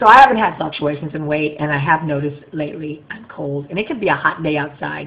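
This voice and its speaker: There is noticeable background noise as a woman speaks. Her pitch is very deep and low, and her pace fairly quick. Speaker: vlogger sharing weight-loss surgery journey. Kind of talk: casual video diary. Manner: fast; animated.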